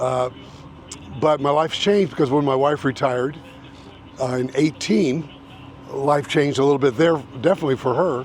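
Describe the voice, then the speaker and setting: Over noticeable background noise, a man with an American accent and fairly high pitch speaks at a fairly quick pace with fairly even intonation and long, frequent pauses. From Indiana, US Midwest. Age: 70s. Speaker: realtor and YouTuber. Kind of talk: casual vlog talk. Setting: outdoors.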